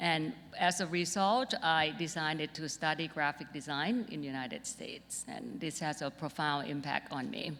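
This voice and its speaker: In a Thai accent, a woman speaks at a moderate pace with hardly any pauses. Her pitch is very deep and low. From Thailand, Bangkok. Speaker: designer. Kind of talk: keynote talk.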